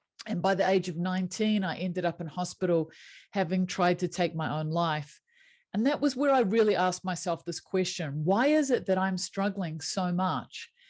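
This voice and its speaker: The speaker has a New Zealand accent and lively intonation. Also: woman, medium pitch for a woman, moderate pace. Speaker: happiness coach. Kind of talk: interview.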